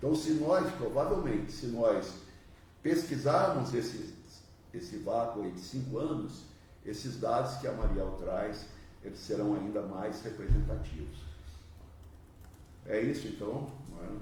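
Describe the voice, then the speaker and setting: A man's medium-pitched voice at a fairly slow pace, with lively intonation, big swings in loudness, long and frequent pauses, and audible room echo. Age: 60s. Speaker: former union leader. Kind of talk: panel debate. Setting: studio panel with microphones.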